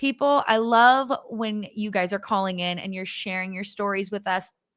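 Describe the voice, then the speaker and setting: A woman speaks in an animated, bright, sharp tone with a Southern accent. The recording is very clean, with a silent background. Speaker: radio host. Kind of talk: radio fundraiser chat. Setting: studio.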